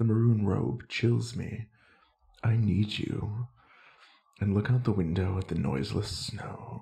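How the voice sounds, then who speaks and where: Here a man talks at a fairly slow pace in a fairly low pitch with ordinary pitch variation. His tone is dark and mellow, with vocal fry. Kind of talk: ASMR poetry reading. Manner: soft-spoken, not whispered.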